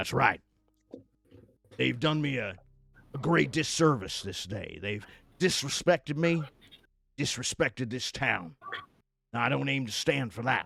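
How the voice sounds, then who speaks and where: Putting on a character voice, a man speaks raspily at medium pitch with lively intonation, a moderate pace and long, frequent pauses. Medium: actual play. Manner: gruff, indignant.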